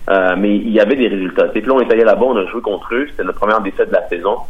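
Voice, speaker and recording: A man speaks over noticeable background noise. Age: 20s. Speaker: professional soccer player. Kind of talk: interview.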